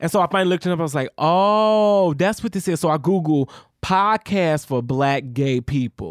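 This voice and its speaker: With lively intonation and very even loudness, a man speaks at a moderate pace in a high pitch, the sound dry and close with no echo on a very clean recording with a silent background. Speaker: podcast co-host. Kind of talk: casual chat. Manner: animated.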